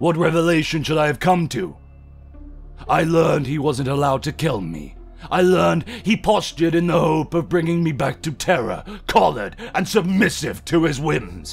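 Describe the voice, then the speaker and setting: A man speaks at a moderate pace with a fairly high pitch. Clear music plays in the background. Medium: audio drama. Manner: defiant, gruff, proud.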